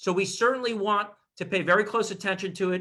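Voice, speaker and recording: His voice is raised and projected, with a bright, sharp tone. The man keeps a fairly quick pace and ordinary pitch variation. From Miami, Florida. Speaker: real estate attorney. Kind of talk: expert advice in livestream interview. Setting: Zoom livestream. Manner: fast.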